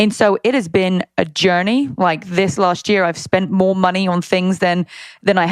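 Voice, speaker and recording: Speaking at a moderate pace in a British accent, a woman keeps her loudness very even, with a medium pitch, ordinary pitch variation and a very clean recording over a silent background. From Britain. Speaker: fitness entrepreneur and youtuber. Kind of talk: interview. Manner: casual.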